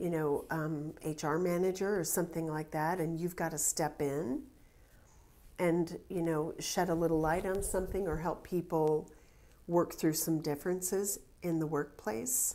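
The voice has a dark, mellow tone and fairly even intonation. It moves at a fairly slow pace. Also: woman, fairly low pitch for a woman. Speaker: tarot reader. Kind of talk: tarot reading commentary. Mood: calm, reflective.

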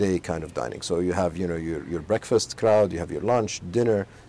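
Over light background noise, a man with a very deep, low pitch and a dark, mellow tone speaks with ordinary pitch variation, the sound dry with no echo. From Saudi Arabia, Al Khobar; Saudi Arabia. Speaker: business executive. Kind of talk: interview. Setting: outdoors in a home garden. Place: garden. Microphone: lapel.

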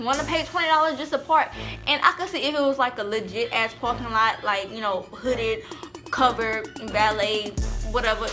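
With clear music in the background, a woman speaks at a moderate pace in a high pitch. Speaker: vlogger. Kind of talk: casual storytime vlog chat. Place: home room. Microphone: camera far.

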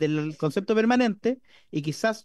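With lively intonation, a man's voice comes through a quiet background in a dry sound with no echo. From Chile. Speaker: parliamentarian. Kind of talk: parliamentary debate. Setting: parliamentary committee room. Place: meeting room. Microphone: podium.

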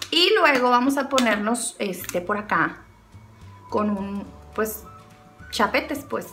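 A woman's playful tone over faint music in the background. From Sinaloa, Mexico. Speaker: beauty vlogger. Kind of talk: casual comedic talk to camera. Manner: playful, chatty. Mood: playful, self-mocking humor. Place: home room.

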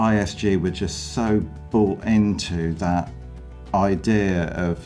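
A man speaks with a very deep, low pitch and ordinary pitch variation. Faint music plays in the background. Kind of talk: interview answer.

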